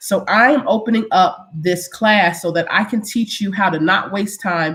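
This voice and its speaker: With an ordinary speaking voice, a woman talks at a fairly slow pace using ordinary pitch variation. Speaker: small business owner giving a live webinar. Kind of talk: live online workshop.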